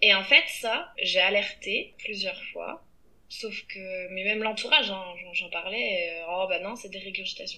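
Big swings in loudness at a fairly slow pace. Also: woman. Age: 30s. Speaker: teacher and podcaster. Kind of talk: interview. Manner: halting.

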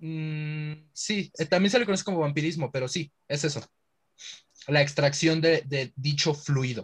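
A man speaks with a Mexican accent at a fairly high pitch, somewhat breathy. His pace is fairly slow, with ordinary pitch variation. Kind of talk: casual chat.

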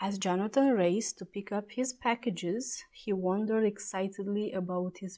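A reading voice that sounds natural

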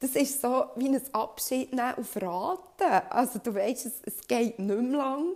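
A woman talks at a very slow pace with hardly any pauses. Her pitch is high and her intonation lively. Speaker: podcast host. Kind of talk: personal monologue.

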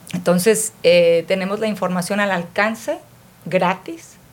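At a fairly slow pace, a woman talks with a medium pitch. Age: 50s. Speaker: podcast co-host. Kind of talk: casual chat. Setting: studio.

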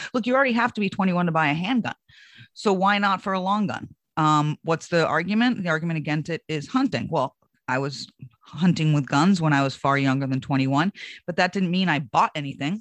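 A woman with a plain, everyday voice speaks fairly quickly in a fairly low pitch with lively intonation against a quiet background. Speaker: Republican political consultant and commentator. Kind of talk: political roundtable discussion.

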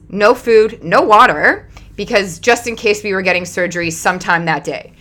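A woman's animated voice at medium pitch, with ordinary pitch variation and a moderate pace. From Canada. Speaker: podcast host. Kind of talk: casual monologue.

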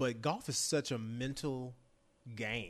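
The voice carries a Texan accent and ordinary pitch variation. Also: man. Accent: Texan American. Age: 40s. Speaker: former college quarterback and football broadcaster. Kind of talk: casual interview chat.

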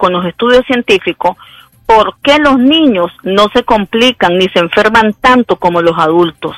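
An ordinary speaking voice from a woman, fairly high-pitched and at a fairly slow pace, with dry, close sound with no echo. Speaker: infectious disease doctor. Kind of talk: expert interview.

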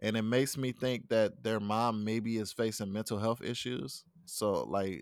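A man with an ordinary speaking voice, medium pitch, moderate pace and fairly even intonation. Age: 30s. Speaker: podcast co-host. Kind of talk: casual chat.

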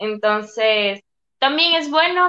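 A woman uses a raised, projected voice with a bright, sharp tone. The sound is dry and close, with no echo. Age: 20s. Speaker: psychology student. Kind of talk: casual chat.

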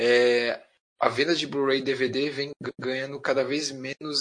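Speaking very slowly, a man with a medium pitch and a bright, sharp tone keeps his intonation fairly even. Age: 30s. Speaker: anime fan. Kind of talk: casual chat.

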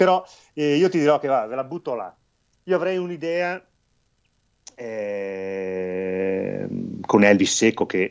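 A man speaks with lively intonation. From northern Italy, Belluno province. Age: 50s. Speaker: baker and ultrarunner. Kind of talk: casual interview. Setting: live video stream.

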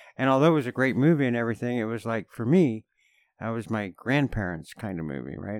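Against a quiet background, a man with a Canadian accent and a normal speaking voice talks at a fairly low pitch with ordinary pitch variation. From Canada. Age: 50s. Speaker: podcast guest. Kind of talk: casual chat.

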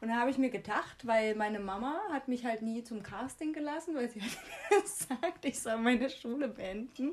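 With noticeable background noise around her, a woman talks in a high pitch with lively intonation. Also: moderate pace. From Germany, Jena (Thuringia). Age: 20s. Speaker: podcast co-host. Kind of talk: casual chat.

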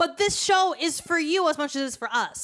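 A woman with an animated tone. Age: 20s. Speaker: podcast host. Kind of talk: casual chat.

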